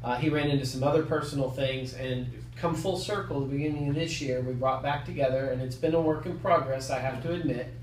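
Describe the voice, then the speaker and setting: A man with a medium pitch talks at a very fast pace with hardly any pauses and fairly even intonation, over noticeable background noise and audible room echo. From US South. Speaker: loan officer. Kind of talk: interview. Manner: hesitant, many fillers.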